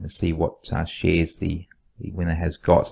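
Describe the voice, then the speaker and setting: Moderate-paced speech from a man with an Australian accent, very cleanly recorded against a silent background. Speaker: stock market YouTuber. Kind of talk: casual vlog commentary. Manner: casual, hesitant with fillers.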